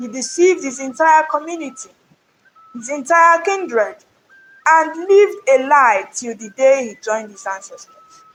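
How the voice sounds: A woman's high-pitched, fairly bright voice with lively intonation at a fairly slow pace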